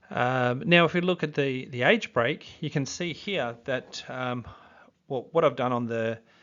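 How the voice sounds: Speaking at a fairly slow pace, a man uses medium pitch, a fairly bright tone and ordinary pitch variation.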